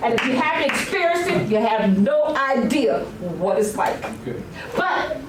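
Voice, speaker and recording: A woman speaks in an animated tone with very wide pitch swings, heard with audible room echo and noticeable background noise. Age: 70s. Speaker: resident speaking at public comment. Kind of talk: public comment at council meeting. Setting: council meeting room with audience.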